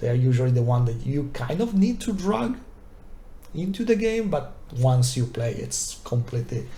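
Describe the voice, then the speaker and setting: A man speaks with a non-native accent. The room echo is audible. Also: moderate pace. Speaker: tabletop wargaming youtuber. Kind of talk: unscripted review. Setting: recorded video to camera. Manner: hesitant, many fillers.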